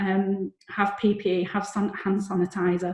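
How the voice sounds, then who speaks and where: A woman speaks with a Lancashire accent at a medium pitch. Her voice is somewhat breathy. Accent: Bolton accent, noticeable. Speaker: lawyer presenting a seminar. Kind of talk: seminar presentation. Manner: repeats words, some hesitations.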